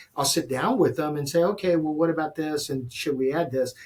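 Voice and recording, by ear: A man talks with a slightly husky edge and ordinary pitch variation.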